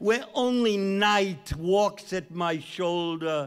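A man's high-pitched voice at a very slow pace. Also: quiet background. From United States. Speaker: poet. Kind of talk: poetry reading. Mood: solemn, mournful. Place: stage. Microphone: studio mic.

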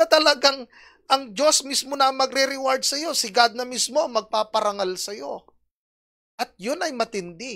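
A woman's high voice at a moderate pace against a quiet background. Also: ordinary pitch variation, big swings in loudness. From Philippines. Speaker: preacher. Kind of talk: sermon, Bible teaching. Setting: online church service video. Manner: earnest, explanatory, teacherly. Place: stage. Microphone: handheld.

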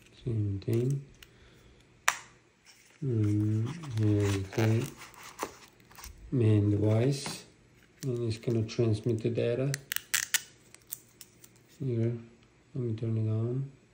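A man with a fairly low pitch and a dark, mellow tone speaks at a very slow pace with fairly even intonation and long, frequent pauses, in audible room echo.

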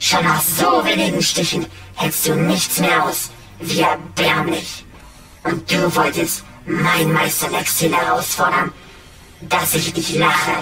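A raspy male voice, fairly high-pitched for a man, in a flat monotone at a fairly slow pace with long, frequent pauses, very even loudness, a slight echo and loud background noise. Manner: contemptuous, menacing.

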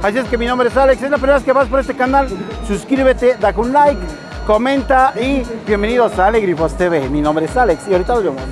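A man talks at a very fast pace over clear background music. The sound is dry, without any echo. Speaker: comedic vlogger host. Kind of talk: casual vlog chat. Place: street. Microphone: lapel.

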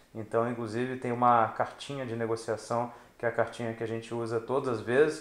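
Audible room echo surrounds a man speaking very fast. His intonation is monotone and flat. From Brazil, Niterói (Rio de Janeiro); Brazil. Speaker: travel vlogger. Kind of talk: casual vlog chat.

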